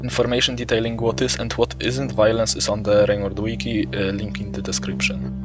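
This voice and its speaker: With music in the background, a man's voice makes very wide pitch swings as he talks at a moderate pace. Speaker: gaming video creator. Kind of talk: gaming commentary narration.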